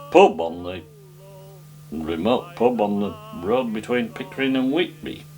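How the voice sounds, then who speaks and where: Someone with a North Yorkshire accent speaks at a moderate pace over noticeable background noise. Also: man. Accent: local North Yorkshire farming dialect. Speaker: folk singer and farmer. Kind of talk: interview. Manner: halting, with frequent fillers.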